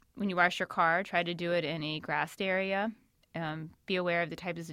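An ordinary speaking voice: a woman with an American accent and fairly low pitch at a fairly quick pace, on a very clean recording with a silent background. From Northern Virginia, Shenandoah Valley. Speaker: county stormwater permit coordinator. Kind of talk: interview.

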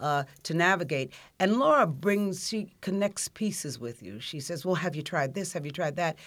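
A woman in an unremarkable speaking voice, fairly low in pitch, with lively intonation and a moderate pace, on a very clean recording with a silent background. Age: 60s. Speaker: social services outreach manager. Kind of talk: casual interview.

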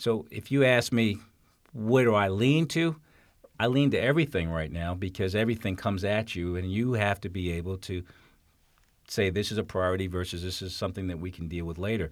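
On a very clean recording with a silent background, a man with an American accent and a plain, everyday voice speaks at a fairly low pitch with lively intonation. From New York City. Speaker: county executive. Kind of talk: interview.

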